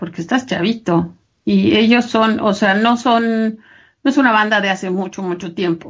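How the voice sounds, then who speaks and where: A woman's fairly high, somewhat breathy voice at a moderate pace with ordinary pitch variation. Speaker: business trainer and podcast co-host. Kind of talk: casual chat.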